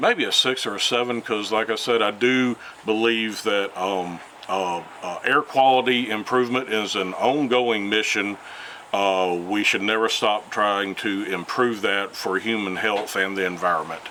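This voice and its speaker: Against noticeable background noise, a man with a fairly low pitch talks at a fairly slow pace. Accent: Alabama. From US South, Mobile, Alabama. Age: 60s. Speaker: retired environmental scientist. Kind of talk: interview. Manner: hesitant, many fillers.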